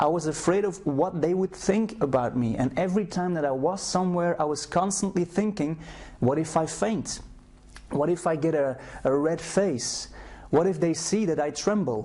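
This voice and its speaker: With a Flemish Belgian accent, a man talks at a moderate pace in a high pitch with ordinary pitch variation. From Belgium (Flemish, Brussels). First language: Flemish (Dutch). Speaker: self-help program creator. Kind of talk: personal testimony / sales video. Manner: hesitant, with repetitions.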